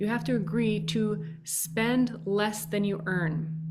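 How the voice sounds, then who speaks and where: A somewhat breathy woman with a Minnesotan accent, ordinary pitch variation and audible room echo. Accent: Minnesota. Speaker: podcast host. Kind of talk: casual advice monologue.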